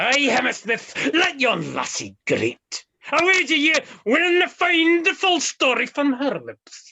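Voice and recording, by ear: Putting on a character voice, a woman speaks at a fairly slow pace in a high, bright, sharp tone with vocal fry and big pitch swings.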